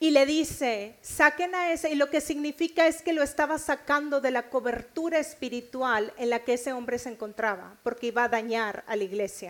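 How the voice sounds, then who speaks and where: A high-pitched woman's voice in a northern Mexican accent, at a fairly quick pace with ordinary pitch variation. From Mexico, Nuevo León. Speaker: preacher. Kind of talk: sermon.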